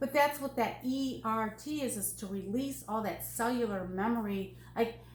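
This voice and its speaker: A woman's fairly high, somewhat breathy voice at a moderate pace, with ordinary pitch variation and audible room echo. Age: 60s. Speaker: NLP coach. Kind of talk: casual interview.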